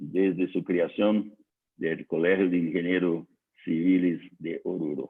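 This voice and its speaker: A man with a Portuguese accent speaks very slowly in a very deep, low voice. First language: Portuguese (speaking Spanish). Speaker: civil engineer. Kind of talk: technical lecture. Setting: online conference. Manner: slow, hesitant.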